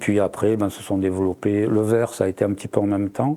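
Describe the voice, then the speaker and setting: Speaking at a fairly quick pace, the man has a fairly low pitch, fairly even intonation and a dark, mellow tone. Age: 70s. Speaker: ceramic artist and woodturner. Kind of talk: interview. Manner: hesitant, many fillers.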